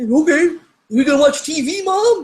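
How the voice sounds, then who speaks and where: A woman puts on a character voice, pitched high, with lively intonation. She talks at a moderate pace. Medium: solo performance. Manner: casual, laid-back.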